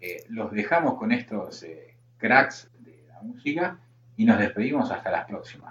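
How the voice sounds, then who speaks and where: A man with a Rioplatense accent talks at a fairly slow pace. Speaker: podcast host. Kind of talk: casual chat.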